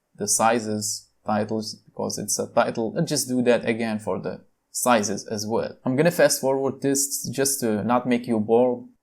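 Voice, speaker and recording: A man with a non-native accent speaks at a fairly slow pace and a medium pitch, with ordinary pitch variation. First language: not English. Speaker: tech tutorial youtuber. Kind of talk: screen-recorded tutorial. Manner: casual, with filler words.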